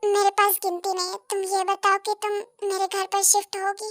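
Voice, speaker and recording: A woman uses a put-on character voice at an extremely high pitch, monotone with flat intonation. Her moderate pace is heard in a dry, close sound with no echo. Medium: audio drama. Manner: assured, commanding.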